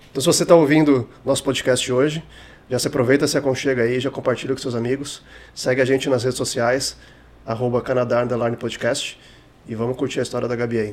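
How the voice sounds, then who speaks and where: A man's monotone, flat delivery at a medium pitch and a fairly quick pace. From Rio de Janeiro, Brazil. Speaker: podcast host. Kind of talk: casual chat.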